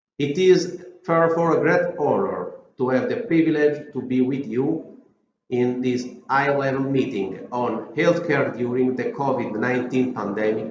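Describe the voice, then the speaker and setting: Audible room echo surrounds a man with a fairly high pitch. He speaks at a fairly slow pace with ordinary pitch variation. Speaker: health agency director and orthopedic surgeon. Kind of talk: prepared speech. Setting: video recording.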